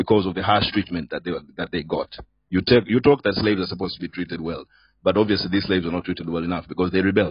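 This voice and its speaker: Talking at a very fast pace, a man has a very deep, low pitch. His accent is Sudanese. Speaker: debate moderator. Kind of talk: heated debate.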